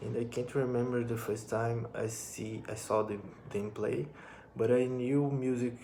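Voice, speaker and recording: Speaking at a moderate pace, a man uses monotone, flat intonation with a Brazilian accent. The audio carries audible room echo and noticeable background noise. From northern Brazil, Amapá. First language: Portuguese. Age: 20s. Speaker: musician and drum teacher. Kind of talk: personal vlog monologue. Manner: halting, with repetitions.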